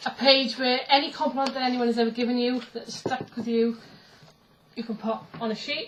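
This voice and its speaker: Over noticeable background noise, a woman talks fairly quickly in a high pitch with monotone, flat intonation. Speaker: pagan vlogger. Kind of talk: casual vlog. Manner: fast.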